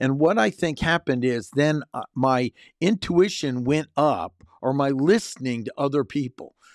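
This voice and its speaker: A man speaks at a fairly slow pace in an American accent, with fairly high pitch and ordinary pitch variation in an unremarkable speaking voice. The recording is very clean with a silent background and a dry, close sound with no echo. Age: 60s. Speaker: personal development coach. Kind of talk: personal monologue.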